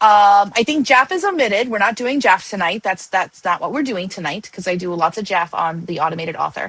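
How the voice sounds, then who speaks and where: A woman with an unremarkable speaking voice and medium pitch talks at a fairly quick pace with lively intonation and hardly any pauses. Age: 40s. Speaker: AI author educator and livestream host. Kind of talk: casual livestream chat. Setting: livestream.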